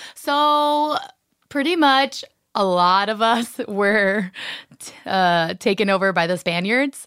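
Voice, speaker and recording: Lively intonation and big swings in loudness mark a woman's fairly high voice at a very slow pace. The recording is very clean with a silent background. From Miami, Florida, Cuban American. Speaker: comedian and actor. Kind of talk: casual chat.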